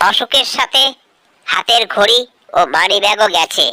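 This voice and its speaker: A female-sounding, cartoonish character voice comes through at medium pitch. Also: moderate pace. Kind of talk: comic dubbing. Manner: comic, bragging.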